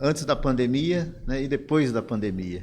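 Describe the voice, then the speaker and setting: At a moderate pace, a man talks in an ordinary speaking voice, medium in pitch, with lively intonation. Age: 60s. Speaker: pastor and former denominational leader. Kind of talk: interview conversation.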